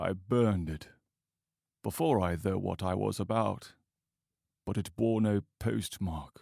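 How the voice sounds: A man's put-on character voice, low-pitched, dark and mellow, with vocal fry and a slow pace, on a very clean recording against a silent background. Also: ordinary pitch variation.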